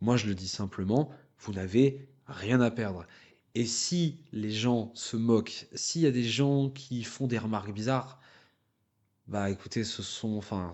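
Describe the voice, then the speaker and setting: A man's medium-pitched voice, very slow, with ordinary pitch variation. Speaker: voice-over and dubbing artist. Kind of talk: interview testimony. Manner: stutter; halting with many fillers.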